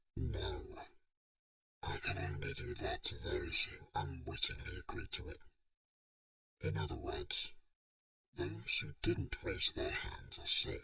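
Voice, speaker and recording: Using a put-on character voice with a menacing tone, a man speaks at an extremely high pitch and a fairly slow pace with long, frequent pauses. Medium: read story. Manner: menacing, quick to rage.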